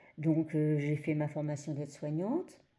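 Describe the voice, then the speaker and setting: This woman's voice sits very deep and low, with a dark, mellow tone and a fairly slow pace. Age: 60s. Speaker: adult trainer and former care assistant. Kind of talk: personal testimony. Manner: hesitant, many fillers.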